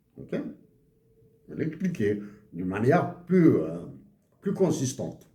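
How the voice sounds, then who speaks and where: A man speaks very slowly at a fairly high pitch in a dark, mellow tone with vocal fry and very wide pitch swings. Long, frequent pauses break his speech amid audible room echo. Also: big swings in loudness. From Algeria, Kabylie (Akbou, Bejaia). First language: Tamazight (Kabyle) (speaking French). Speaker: economics commentator. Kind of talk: monologue video commentary. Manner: halting, many hesitations.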